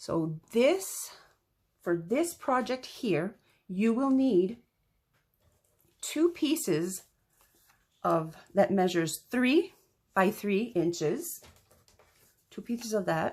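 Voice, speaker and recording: A woman with a slight French accent, medium-pitched, with very wide pitch swings, a very slow pace and long, frequent pauses, on a very clean recording with a silent background. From French-speaking region. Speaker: crafter tutorial host. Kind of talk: tutorial. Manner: halting, many fillers.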